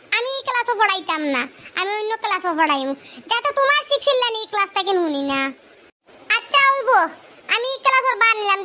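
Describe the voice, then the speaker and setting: Extremely high in pitch, a cartoonish character voice rattles along at a fairly quick pace. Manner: scornful, lecturing.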